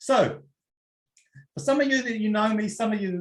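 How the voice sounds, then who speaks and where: A man with a New Zealand accent and lively intonation. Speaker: personal development coach. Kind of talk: webinar talk. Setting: online webinar. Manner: relaxed, conversational.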